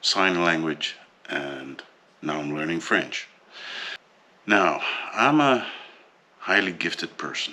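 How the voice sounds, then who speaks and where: Through noticeable background noise, a man with a Dutch accent speaks very slowly in a very deep, low voice with lively intonation and long, frequent pauses. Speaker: vlogger. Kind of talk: personal vlog monologue. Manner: hesitant, many fillers.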